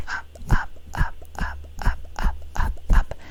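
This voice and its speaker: Over noticeable background noise comes a whisper in a relaxed tone. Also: woman. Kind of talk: ASMR makeup tutorial. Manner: whispered; soft-spoken, relaxed.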